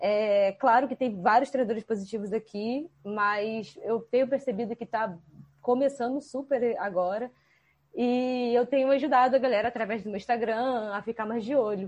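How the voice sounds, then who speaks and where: Speaking at a moderate pace, a woman has a plain, everyday voice with a fairly high pitch and fairly even intonation. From Rio de Janeiro state, Brazil. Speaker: animal trainer. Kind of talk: casual chat.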